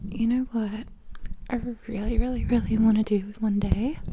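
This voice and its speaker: A soft-spoken woman with a fairly high voice, against noticeable background noise. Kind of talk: casual talk to camera. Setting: indoors at home.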